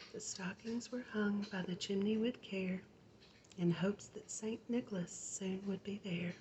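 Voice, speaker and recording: A soft-spoken woman with an American accent, at a medium pitch, fairly slow pace and fairly even intonation, amid noticeable background noise. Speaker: ASMR artist. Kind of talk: bedtime story reading.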